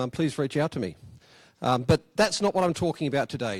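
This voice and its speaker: Lively intonation marks a man speaking at a fairly quick pace with an Australian accent. The recording is very clean with a silent background, and the sound is dry and close with no echo. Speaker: software engineer. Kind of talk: conference talk. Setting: conference room with audience. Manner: hesitant, many fillers.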